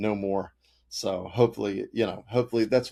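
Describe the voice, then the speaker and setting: In a very clean recording with a silent background, a man speaks very fast in a fairly low, dark, mellow voice with monotone, flat intonation. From US South, rural North Carolina. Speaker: author. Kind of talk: podcast interview. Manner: halting, many fillers.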